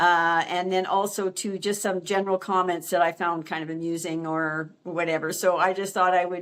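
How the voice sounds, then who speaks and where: A woman's medium-pitched voice with a Canadian accent, fairly even intonation and a moderate pace, on a very clean recording with a silent background. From Canada, Alberta. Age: 60s. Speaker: retiree vlogger. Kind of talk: casual monologue to camera. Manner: halting, with fillers.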